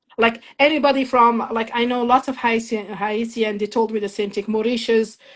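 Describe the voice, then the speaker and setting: Speaking with a slight French accent, a woman talks at a moderate pace with a fairly high pitch and monotone, flat intonation. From Morocco, small town near Khouribga. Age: 50s. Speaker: immigrant sharing life story. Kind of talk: interview testimony.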